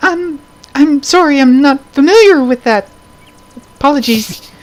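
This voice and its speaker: In a put-on character voice, the speaker uses a high pitch and a timid tone at a moderate pace. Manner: timid, apologetic.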